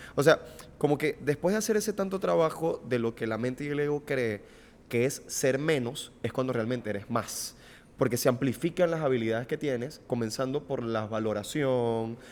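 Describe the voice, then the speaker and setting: With a Venezuelan accent, a man speaks at medium pitch and a moderate pace with lively intonation. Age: 20s. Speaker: podcast host, TV presenter. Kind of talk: casual conversation.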